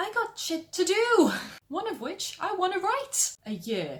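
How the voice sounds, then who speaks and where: Pitched extremely high, a woman talks at a fairly slow pace with very wide swings in pitch. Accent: Welsh. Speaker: writer giving writing advice.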